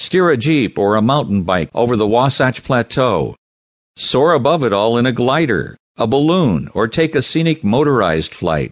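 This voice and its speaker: With vocal fry and very wide pitch swings around a medium pitch, a man talks at a moderate pace and very even loudness over a quiet background. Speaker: audiobook narrator. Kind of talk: scripted travel-guide narration read aloud, promotional and descriptive. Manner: polished, inviting tour-guide tone listing adventures with enthusiasm; measured, even-paced formal delivery of descriptive prose.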